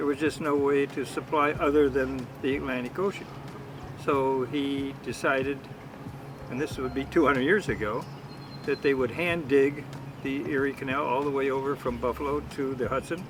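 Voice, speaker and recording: A man's fairly high voice keeps a moderate pace and fairly even intonation while noticeable noise sounds behind him. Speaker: family member guest. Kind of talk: casual chat.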